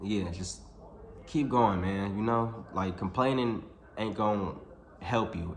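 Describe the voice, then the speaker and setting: Fairly low male voice at a moderate pace, ordinary pitch variation, with audible room echo. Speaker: YouTuber. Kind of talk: casual vlog monologue. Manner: halting, self-described stuttering; casual, filler-heavy.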